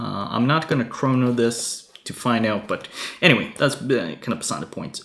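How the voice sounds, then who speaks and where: A man speaks at medium pitch. Noticeable background noise can be heard. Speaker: airsoft reviewer. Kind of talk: product review. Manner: halting, many fillers.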